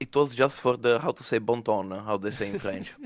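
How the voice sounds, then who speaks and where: This man has an Italian accent. He talks at a moderate pace. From Italy. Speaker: community member on a mining podcast. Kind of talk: casual chat. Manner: halting with many fillers.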